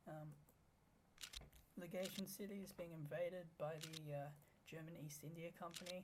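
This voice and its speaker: The speech is mumbled at a moderate pace, broken by long, frequent pauses. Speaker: gaming YouTuber. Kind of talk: gameplay commentary. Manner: mumbling; halting. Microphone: tweaked microphone, may be quiet.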